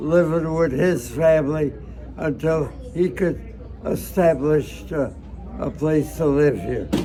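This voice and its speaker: Amid noticeable background noise, a man talks at a very slow pace, leaving long, frequent pauses. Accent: American. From United States. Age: 80s+. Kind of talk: interview answer. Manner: hesitant, halting.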